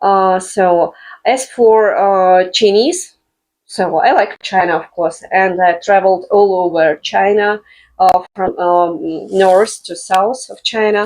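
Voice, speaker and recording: With a Russian accent, a woman speaks very slowly at a medium pitch and with fairly even intonation. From Russian Far East, Blagoveshchensk. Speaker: language teacher, business owner. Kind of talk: casual interview. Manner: halting, many fillers.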